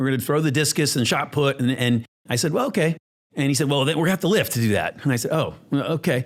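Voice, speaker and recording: This man's voice sits at a fairly high pitch with ordinary variation in it. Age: 60s. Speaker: ophthalmologist and department chairman. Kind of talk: casual interview chat. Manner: halting, many repetitions and fillers.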